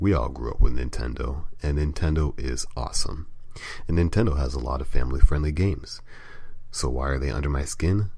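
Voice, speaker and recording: Noticeable background noise runs under a fairly quick voice with ordinary pitch variation. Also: man, very deep, low pitch for a man. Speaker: gaming site editor and podcast host. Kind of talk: casual solo podcast talk.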